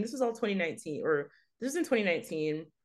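A woman with an American accent talks at a very fast pace, her pitch swinging very widely, over a quiet background. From Texas, Fort Worth. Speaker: art writer and editor. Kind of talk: interview.

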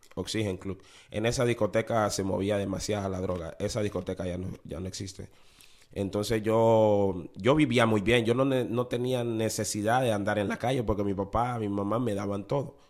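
A man's fairly low voice at a moderate pace. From Honduras, city-raised, Garifuna family. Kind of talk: testimony. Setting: studio. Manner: animated.

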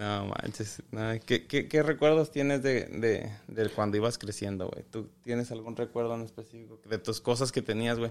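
A man's normal speaking voice, medium in pitch, with fairly even intonation, a moderate pace and hardly any pauses. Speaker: podcast co-host. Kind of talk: casual chat. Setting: home garage.

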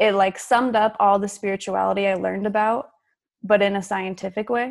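A woman with an American accent has an unremarkable speaking voice of medium pitch, moving at a moderate pace with fairly even intonation on a very clean recording with a silent background. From Utah. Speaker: author and podcaster. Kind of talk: interview, personal story.

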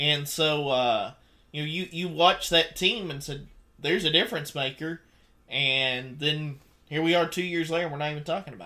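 Here a man with a Southern US accent speaks at a fairly high pitch and moderate pace, with ordinary pitch variation. His tone is bright and sharp, with big swings in loudness, in a very clean recording with a silent background. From Mississippi. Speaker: sports radio host, former high school coach. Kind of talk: casual chat.

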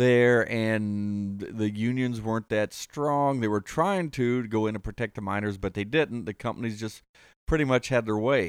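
An ordinary speaking voice, this man talks with an American accent at a moderate pace and medium pitch with ordinary pitch variation, the sound dry and close with no echo on a very clean recording with a silent background. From Ohio, Kentucky family. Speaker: guest, former coal miner. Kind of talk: casual chat.

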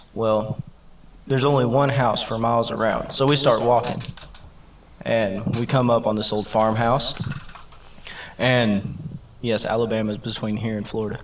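There is noticeable background noise as a man talks at a moderate pace and medium pitch. His intonation is fairly even, with long, frequent pauses. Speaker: podcast host. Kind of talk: casual chat.

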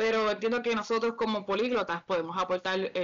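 With a normal speaking voice, a woman talks at a moderate pace and keeps her intonation fairly even. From Puerto Rico, Canóvanas. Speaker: podcast co-host, polyglot. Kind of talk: casual chat.

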